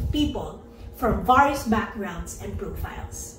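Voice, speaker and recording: A woman talks with a high pitch. Light background noise and audible room echo are present. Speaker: speaker. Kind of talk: inspirational talk to online audience.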